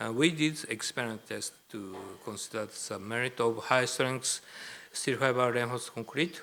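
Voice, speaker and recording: A man speaks with a Japanese accent. His tone is bright and sharp, with ordinary pitch variation. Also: medium pitch for a man, moderate pace. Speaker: professor. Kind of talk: lecture. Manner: halting.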